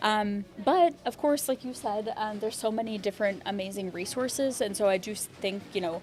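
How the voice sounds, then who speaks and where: A woman with an American accent and an unremarkable speaking voice talks at a fairly quick pace with hardly any pauses, her fairly high pitch showing ordinary variation. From rural US Midwest. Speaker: LGBTQ mental health advocate. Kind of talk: interview conversation.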